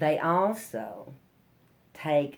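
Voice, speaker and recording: A woman with a Southern Appalachian accent speaks in a very deep, low pitch. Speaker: storyteller, ballad singer, banjo player. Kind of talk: live storytelling to an audience.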